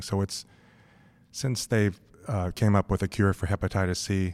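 Very deep and low in pitch, a man speaks at a moderate pace with fairly even intonation on a very clean recording with a silent background. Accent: General American. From US West Coast, Los Angeles. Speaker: physician, gastroenterologist. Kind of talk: interview.

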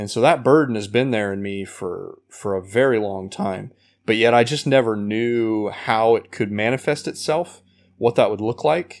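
Moving at a moderate pace, an unremarkable speaking voice with an American accent shows ordinary pitch variation. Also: man, medium pitch for a man. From Indiana, US Midwest. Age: 30s. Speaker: ministry leader and former worship pastor. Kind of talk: casual interview.

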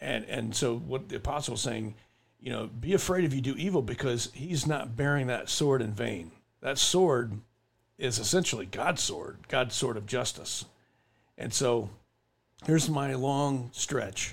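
A man with a medium pitch talks at a fairly slow pace with vocal fry. His intonation is lively. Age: 50s. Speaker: podcast host, army veteran. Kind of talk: casual chat.

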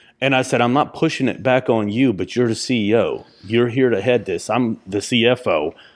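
Using a plain, everyday voice, a man talks at a moderate pace and medium pitch with fairly even intonation and hardly any pauses. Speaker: podcast co-host. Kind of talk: casual chat. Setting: in person.

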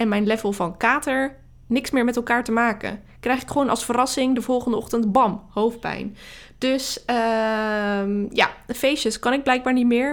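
Delivered at a moderate pace with fairly even intonation, the speech comes through in a very clean recording with a silent background. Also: woman, high pitch for a woman. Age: 30s. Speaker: marketing coach podcaster. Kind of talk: solo podcast monologue.

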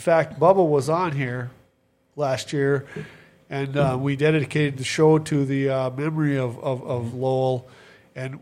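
This man has an American accent and a fairly high pitch. He speaks at a moderate pace with fairly even intonation. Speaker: sports podcast host. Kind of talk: casual chat. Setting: studio.

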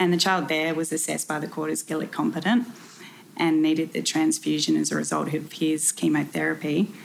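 Someone with an Australian accent speaks at a fairly quick pace. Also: woman. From South Australia. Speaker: solicitor. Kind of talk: interview.

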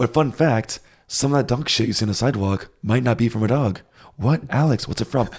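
A normal speaking voice from a man with an American accent, at medium pitch and a fairly quick pace, with very even loudness and ordinary pitch variation. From United States. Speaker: podcast co-host. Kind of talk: casual chat.

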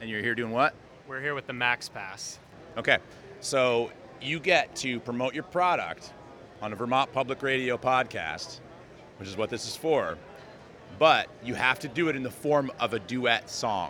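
A man talks at a moderate pace and medium pitch, with ordinary pitch variation, big swings in loudness, and long, frequent pauses. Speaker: podcast host. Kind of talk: podcast narration and on-location interviews. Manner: casual, jokey.

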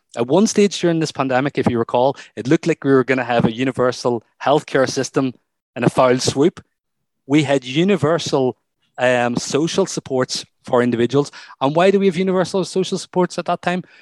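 A man with a normal speaking voice, fairly high in pitch with ordinary pitch variation, at a fairly quick pace, in a dry, close sound with no echo. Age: 40s. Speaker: psychology professor, researcher. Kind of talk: interview.

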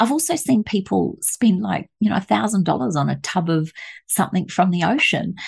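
Over a quiet background, a woman at a medium pitch talks at a moderate pace, with vocal fry and very wide pitch swings. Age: 50s. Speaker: aromatherapist and author.

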